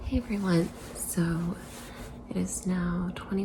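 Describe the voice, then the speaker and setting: Speaking at a very slow pace, a woman has a fairly low pitch. Her voice comes through audible room echo and noticeable background noise. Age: 40s. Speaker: vlogger. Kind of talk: casual vlog. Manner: halting; soft-spoken.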